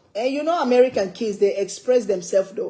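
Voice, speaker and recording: Noticeable background noise accompanies a speaker with an African accent who keeps a moderate pace and ordinary pitch variation. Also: woman. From West Africa. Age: 60s. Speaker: cooking livestreamer. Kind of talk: casual livestream chat.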